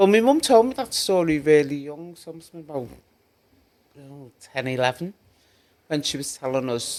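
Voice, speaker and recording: With a Liverpool accent, a man talks at a fairly quick pace with ordinary pitch variation. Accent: Liverpool (Scouse). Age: 60s. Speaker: community activist. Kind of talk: podcast interview.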